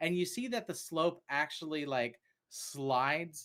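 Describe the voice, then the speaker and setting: A man speaks at a very slow pace in a Southern US accent. His intonation is lively, and the recording is very clean with a silent background. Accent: Southern US accent, coming back. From US South, Chattanooga Tennessee. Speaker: game master. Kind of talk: tabletop game narration. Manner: halting, many fillers.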